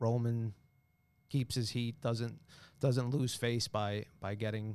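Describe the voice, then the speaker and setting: A New York accent in a very clean recording with a silent background. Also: man. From Long Island, New York. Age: 30s. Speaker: carpet salesman. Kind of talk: casual chat.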